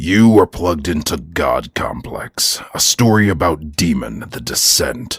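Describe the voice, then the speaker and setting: With a very deep, low pitch, a man growls in a dramatic tone at a fairly slow pace, his pitch swinging very widely and hardly any pauses breaking his speech. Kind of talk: horror podcast intro. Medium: audio drama. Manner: ominous, dramatic.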